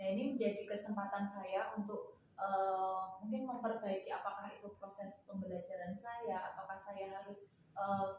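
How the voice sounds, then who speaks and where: A woman speaks at medium pitch and a moderate pace in a monotone, flat intonation. Audible room echo surrounds her voice. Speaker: elementary school teacher. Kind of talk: coaching role-play.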